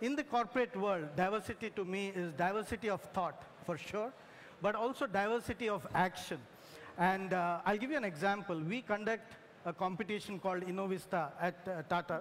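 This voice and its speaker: Speaking at a fairly quick pace with a Telugu accent, this voice shows ordinary pitch variation. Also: man, high pitch for a man. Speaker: engineer, corporate tech executive. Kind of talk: panel discussion. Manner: hesitant, many fillers.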